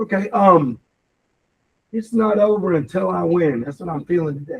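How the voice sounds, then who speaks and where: Loud and high-pitched, a man talks at a moderate pace with lively intonation. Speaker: real estate team leader. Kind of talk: team meeting talk. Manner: animated.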